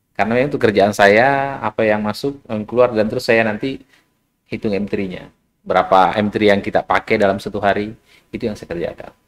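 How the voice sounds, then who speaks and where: At a fairly quick pace, a man with a plain, everyday voice speaks at a fairly low pitch with fairly even intonation. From South Sulawesi, Indonesia (Bulukumba). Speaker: business founder. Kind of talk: podcast interview.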